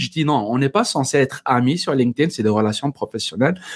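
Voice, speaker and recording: A man with a North African accent and ordinary pitch variation. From Algeria. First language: Berber (speaking French). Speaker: entrepreneur. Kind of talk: casual interview.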